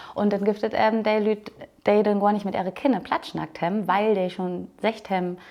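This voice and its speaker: The voice has a dark, mellow tone and fairly even intonation, delivered at a fairly quick pace. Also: woman, medium pitch for a woman. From northern Germany, Low German speaking. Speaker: Low German language coordinator, podcast host. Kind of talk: casual interview chat. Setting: open-air museum farmhouse.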